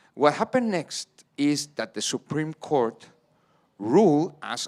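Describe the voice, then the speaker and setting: A man with a Spanish accent speaks at a fairly slow pace, his pitch fairly high and his intonation lively. The recording is very clean with a silent background and a dry, close sound with no echo. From Mexico. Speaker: policy expert panelist. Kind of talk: panel discussion.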